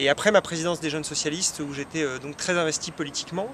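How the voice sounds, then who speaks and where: With noticeable background noise around it, the speech moves at a very fast pace. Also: man. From France, Chartres (Eure-et-Loir). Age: 30s. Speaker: politician, parliamentary candidate. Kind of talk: interview. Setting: web TV interview. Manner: frequent hesitations (euh).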